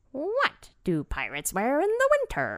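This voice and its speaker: Someone uses a put-on character voice with a high pitch at a moderate pace. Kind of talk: playful joke.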